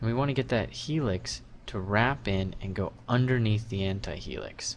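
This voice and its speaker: A man's unremarkable speaking voice at a medium pitch, with ordinary pitch variation and a moderate pace. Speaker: 3D sculpting instructor. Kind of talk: tutorial.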